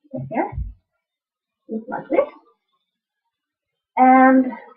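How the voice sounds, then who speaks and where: A woman with a Dutch accent and a high pitch. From Netherlands. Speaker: quilting and knitting video blogger. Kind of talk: casual video podcast, tutorial-style show-and-tell. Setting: home sewing room.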